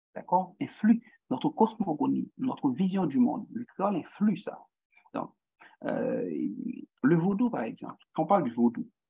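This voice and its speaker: A man with a Haitian accent, high pitch and dark, mellow tone, very wide pitch swings, a fairly slow pace and long, frequent pauses. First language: Haitian Creole (speaking French). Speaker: guest lecturer in social psychology. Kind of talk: lecture. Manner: halting, many repetitions and fillers.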